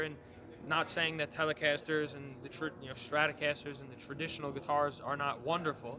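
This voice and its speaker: A man with a New York accent talks at a fairly quick clip, his fairly high voice held in a flat monotone. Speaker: guitar maker. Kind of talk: trade show interview. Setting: trade show floor. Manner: hesitant, many fillers.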